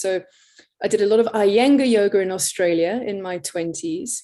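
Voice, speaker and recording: A woman with an English accent. Her tone is dark and mellow. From England. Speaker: yoga teacher. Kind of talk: interview.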